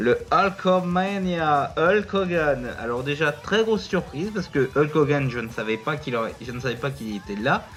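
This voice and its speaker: Lively intonation carries the speech over music in the background. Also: man, fairly high pitch for a man, moderate pace, hardly any pauses. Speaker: wrestling YouTuber. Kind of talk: casual video review. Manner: hesitant, many fillers.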